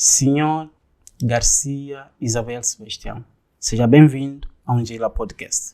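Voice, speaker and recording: Very slowly, a man with a fairly high pitch and a dark, mellow tone speaks with fairly even intonation. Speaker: podcast host. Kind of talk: podcast interview.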